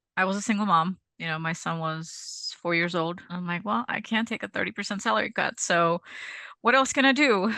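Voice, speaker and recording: A woman with a Czech accent talks at a fairly quick pace with lively intonation. Her tone is bright and sharp against a quiet background. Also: medium pitch for a woman. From Czech Republic, Prague. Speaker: cleaning business owner. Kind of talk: interview.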